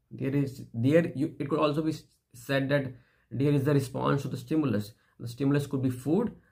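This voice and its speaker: A man with an Indian accent, fairly high-pitched with a dark, mellow tone, fairly even intonation and a fairly quick pace. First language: Hindi. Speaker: philosophy vlogger. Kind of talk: philosophical monologue. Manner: halting.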